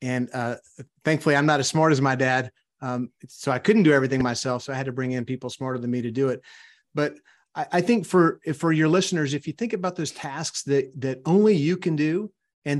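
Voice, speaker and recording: Against a quiet background, a man speaks in a fairly high pitch with a Louisiana accent. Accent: Southern US (Louisiana). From US South, South Louisiana. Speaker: entrepreneur and author. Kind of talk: interview.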